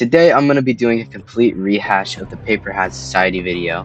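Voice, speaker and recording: Fairly quick speech from a man with music in the background. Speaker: commentary YouTuber. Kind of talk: commentary voiceover.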